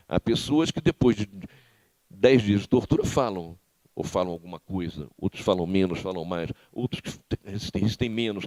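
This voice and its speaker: A man speaks at a fairly low pitch and a moderate pace, with lively intonation. The sound is dry and close, with no echo. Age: 60s. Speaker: former political prisoner and author. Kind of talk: lecture. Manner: halting, frequent repetitions.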